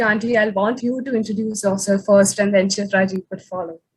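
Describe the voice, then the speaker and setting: In a somewhat breathy voice, a woman talks at a medium pitch. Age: young. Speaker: youth activist moderating panel. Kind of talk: panel discussion moderation.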